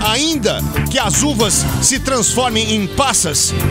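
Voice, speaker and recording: A man's voice in a dry sound with no echo, over loud background music. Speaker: radio announcer. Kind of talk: radio air check, reflective commentary. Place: studio. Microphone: studio mic.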